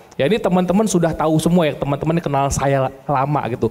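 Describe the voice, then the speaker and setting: Fairly quick male speech over noticeable background noise. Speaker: insurance agency business founder. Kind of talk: seminar talk.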